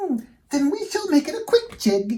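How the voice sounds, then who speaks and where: This put-on character voice is squeaky and extremely high, with very wide pitch swings. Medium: read story.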